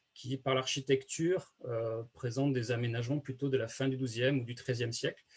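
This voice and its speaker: A man's somewhat breathy voice at a medium pitch, with fairly even intonation. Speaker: archaeologist. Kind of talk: lecture. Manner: fast; many hesitations.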